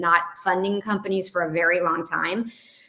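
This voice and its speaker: Noticeable background noise can be heard while the woman talks. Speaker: entrepreneur. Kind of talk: interview. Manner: fast.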